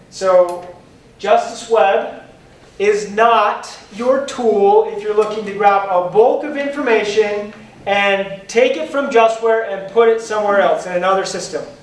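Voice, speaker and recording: The pace is fairly slow. Noticeable background noise is present. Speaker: software trainer. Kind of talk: lecture. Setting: conference classroom with audience. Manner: animated.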